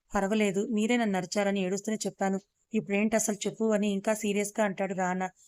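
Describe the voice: Against quiet surroundings, someone does plain reading aloud.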